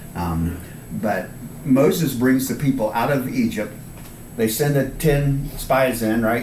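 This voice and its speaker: A man talks with ordinary pitch variation, and audible room echo is present. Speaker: Bible class teacher. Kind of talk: Bible study lesson. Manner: halting.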